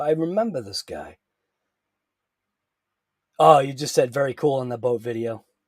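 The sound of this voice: With lively intonation, a man speaks in a slightly mellow tone that carries a slightly husky edge.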